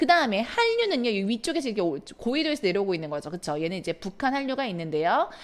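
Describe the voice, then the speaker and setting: Hardly pausing, a woman speaks at a very fast pace. Her fairly high voice swings very widely in pitch. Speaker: middle school science teacher. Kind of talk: lecture. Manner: stumbling over pronunciation.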